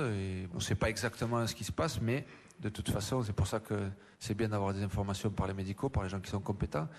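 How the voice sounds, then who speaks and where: Talking at a very fast pace, a man with a fairly low pitch keeps an ordinary pitch variation. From France. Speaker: football coach. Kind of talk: interview.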